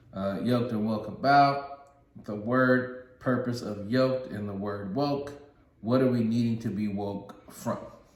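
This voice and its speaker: Amid noticeable background noise and audible room echo, a man speaks fairly slowly in an animated tone. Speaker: podcast co-host. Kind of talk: casual chat.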